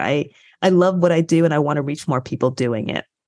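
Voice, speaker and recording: A woman with an American accent has a normal speaking voice and ordinary pitch variation at a fairly quick pace. The sound is dry and close, with no echo. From US Midwest, Michigan. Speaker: professor and podcast co-host. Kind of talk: interview conversation.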